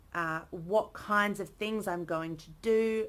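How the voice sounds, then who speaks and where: A woman speaks with an Australian accent at a very slow pace. The recording is very clean, with a silent background. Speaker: early career academic vlogger. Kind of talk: casual vlog monologue. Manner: animated.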